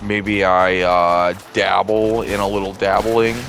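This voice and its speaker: A fairly low-pitched man in a monotone, flat delivery, with audible room echo and noticeable background noise. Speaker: gaming youtuber. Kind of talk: gameplay commentary. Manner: slurred, stumbling speech; rambling.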